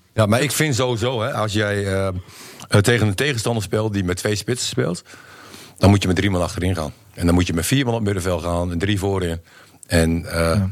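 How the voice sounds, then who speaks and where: Fairly low in pitch, a man with an unremarkable speaking voice talks at a fairly quick pace with ordinary pitch variation. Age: 40s. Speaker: football pundit, former player. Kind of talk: casual chat.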